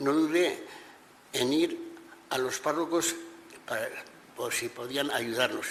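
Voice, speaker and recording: A man's fairly slow speech with long, frequent pauses over noticeable background noise. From Navarre, Spain (Corella). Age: 80s+. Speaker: witness to Francoist repression. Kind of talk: testimony. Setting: regional parliament hearing. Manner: halting, with repetitions.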